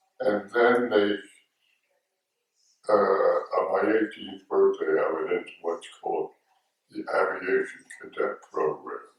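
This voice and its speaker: A man with an American accent speaks at a very slow pace, pausing long and often. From US Northeast, Philadelphia. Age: 90s. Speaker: war veteran. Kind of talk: oral history interview. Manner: halting.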